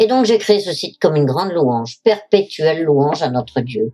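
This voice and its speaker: Lively intonation marks this woman's dark, mellow tone. She keeps a moderate pace. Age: 70s. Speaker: widow giving religious testimony. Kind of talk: testimony. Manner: formal.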